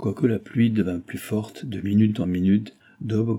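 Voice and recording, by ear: With fairly even intonation, a natural voice reads a text aloud.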